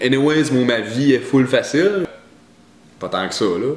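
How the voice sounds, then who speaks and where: A man with a Quebec accent. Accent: Quebec joual. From Quebec, Abitibi. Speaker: vlogger. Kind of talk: casual vlog monologue. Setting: at his mother's house. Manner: hesitant, many fillers and repeats; sometimes exaggerates accent for humor.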